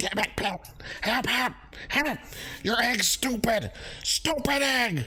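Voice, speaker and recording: A shouted, put-on character voice at a fairly high pitch and fairly slow pace, with long, frequent pauses and clear background noise. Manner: panicked, yelling.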